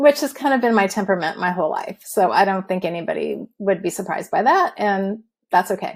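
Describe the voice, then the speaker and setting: A woman's medium-pitched voice with an American accent, lively intonation and a fairly quick pace. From Southern California. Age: 60s. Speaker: retired dietitian, patient guest. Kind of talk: interview testimony. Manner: fast.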